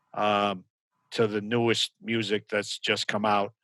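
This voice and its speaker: Recorded dry and close with no echo, a man speaks at a fairly low pitch in a bright, sharp tone with monotone, flat intonation. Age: 60s. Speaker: business owner and CEO. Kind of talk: casual interview. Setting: video call. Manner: hesitant, many fillers.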